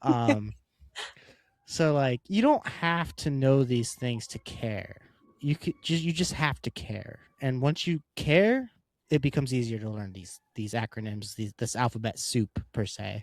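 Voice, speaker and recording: At a fairly slow pace, a man with a normal speaking voice talks at a medium pitch with lively intonation, the sound dry and close with no echo. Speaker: podcast co-host. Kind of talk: casual podcast chat.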